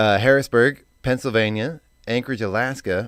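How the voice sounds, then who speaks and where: With a normal speaking voice, a man talks at a moderate pace and ordinary pitch variation. The recording is very clean, with a silent background. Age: 40s. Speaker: radio host. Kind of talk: casual chat.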